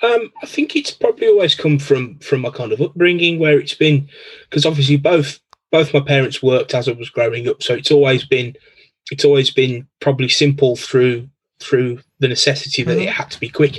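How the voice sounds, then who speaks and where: Speaking at a fairly quick pace with a Birmingham accent, a man has a fairly high, somewhat breathy voice with ordinary pitch variation. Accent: Birmingham (Brummie) English. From Birmingham, England. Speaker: computer repair technician. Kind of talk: casual chat.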